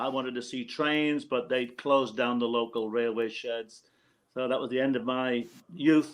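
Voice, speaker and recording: Over a quiet background, a man with a northeast English accent talks with fairly even intonation. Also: medium pitch for a man, moderate pace. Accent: British (northeast English). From northeast England, Hartlepool. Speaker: former roadie and tour manager. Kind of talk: casual interview chat.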